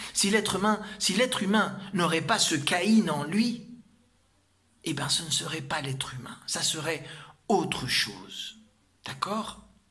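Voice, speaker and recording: A man talks at a very slow pace with lively intonation. Noticeable background noise and audible room echo surround him. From Argentina. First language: Spanish (speaking French). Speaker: spiritual teacher. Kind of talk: lecture. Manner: halting.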